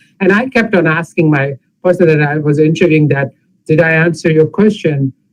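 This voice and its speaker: A man with an ordinary speaking voice talks at a fairly quick pace and fairly high pitch, with ordinary pitch variation. His loudness stays very even. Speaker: pathologist panelist. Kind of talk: panel discussion.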